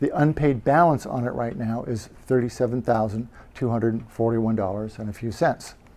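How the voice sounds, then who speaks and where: A dark, mellow tone at a fairly quick pace, with ordinary pitch variation. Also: man, medium pitch for a man. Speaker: real estate investor presenting to a meetup. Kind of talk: presentation. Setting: meetup group presentation. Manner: fast; halting, many fillers.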